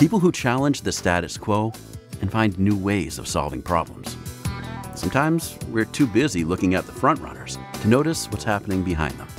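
Over music in the background, a man with a fairly low voice talks fairly quickly, his pitch swinging very widely and his loudness shifting a lot. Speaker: voice actor. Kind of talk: inspirational corporate narration. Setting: studio.

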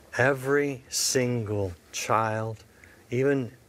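This is a man speaking. His intonation stays fairly even. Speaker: TV host. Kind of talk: interview. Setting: studio. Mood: earnest, pleading. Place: studio.

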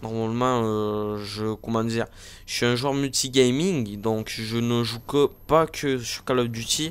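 Very slowly, the man talks at a medium pitch, his intonation fairly even. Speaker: gaming youtuber. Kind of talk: gameplay commentary. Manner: halting, many fillers.

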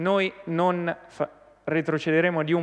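The speaker is a man. His pace is medium. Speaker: regional councillor. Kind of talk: parliamentary question time, opposition attack. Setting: regional assembly chamber. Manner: indignant, forceful; accusatory, rhetorical. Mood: critical, combative. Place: hall. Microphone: podium.

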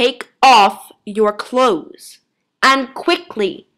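A woman's put-on character voice, high-pitched and hissing, at a very slow pace. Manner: hissed urgently.

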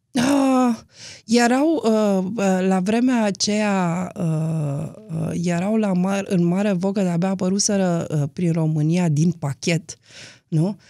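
Over a quiet background, a woman with a dark, mellow tone speaks at a very slow pace in a dry sound with no echo. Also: ordinary pitch variation. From Romania, Timișoara / Arad area; Romania. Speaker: documentary film director; interview guest. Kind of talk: interview. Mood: calm, reflective. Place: studio. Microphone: studio mic.

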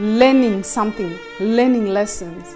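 Faint music sits in the background while a woman speaks. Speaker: vlogger. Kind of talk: casual vlog chat. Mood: earnest, reflective. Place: home room. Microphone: lapel.

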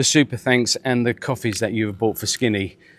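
The recording has a dry sound with no echo. A man speaks with fairly even intonation. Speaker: house renovation vlogger. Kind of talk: casual vlog chat. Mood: calm, grateful, slightly weary. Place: garden. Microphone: lapel.

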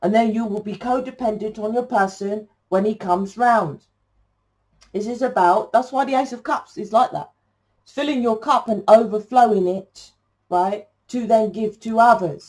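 Over a quiet background, a woman with an English accent speaks with big swings in loudness. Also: fairly high pitch for a woman, ordinary pitch variation, moderate pace. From England. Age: 40s. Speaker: tarot reader. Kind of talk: tarot reading monologue. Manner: rambling, halting with fillers. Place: home room. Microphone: camera far.

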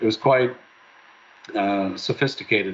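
Light background noise accompanies a man talking at a moderate pace. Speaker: presenter. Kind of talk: conference presentation. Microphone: webcam.

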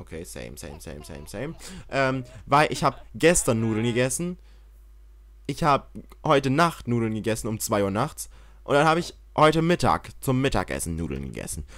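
Pitched in the medium range, a man talks at a moderate pace in an animated tone, with very wide pitch swings and big swings in loudness. He leaves long, frequent pauses. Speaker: gaming YouTuber. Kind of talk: let's play commentary.

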